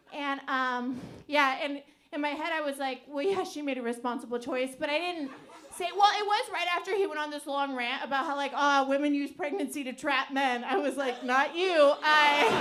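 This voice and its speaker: A high-pitched woman's voice in an American accent, with ordinary pitch variation and audible room echo. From US Pacific Northwest, Portland, Oregon. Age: 30s. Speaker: stand-up comedian. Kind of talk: stand-up. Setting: stage with audience. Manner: halting; fast.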